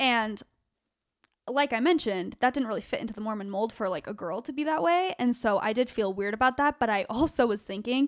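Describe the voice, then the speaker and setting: With an American accent and a plain, everyday voice, a woman speaks at a fairly quick pace in a fairly high pitch with lively intonation, recorded very cleanly with a silent background. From Arizona (Gilbert). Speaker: social media influencer. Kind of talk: casual chat.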